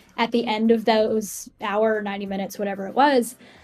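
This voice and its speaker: Amid noticeable background noise, a woman with an American accent speaks at a fairly high pitch. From Massachusetts, New England. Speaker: music journalist. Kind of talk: podcast interview. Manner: rambling, many fillers.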